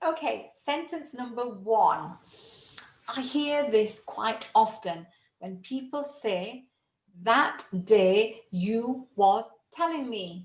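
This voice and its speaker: In a British accent, the somewhat breathy voice moves at a very slow pace with big swings in loudness. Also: woman, fairly high pitch for a woman, lively intonation. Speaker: English tutor. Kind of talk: English lesson to camera. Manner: upbeat.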